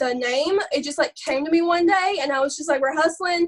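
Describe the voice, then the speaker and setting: Loud and animated, a woman with an Alabama accent speaks at an extremely high pitch with ordinary pitch variation. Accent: Southern US, Alabama. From US South, Alabama. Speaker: network marketing distributor. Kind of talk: live video call training. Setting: video call.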